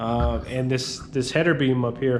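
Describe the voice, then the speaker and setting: A man talks at a moderate pace, and room echo can be heard. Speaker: handyman business owner. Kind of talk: tutorial. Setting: on site in a building under renovation. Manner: halting, many fillers.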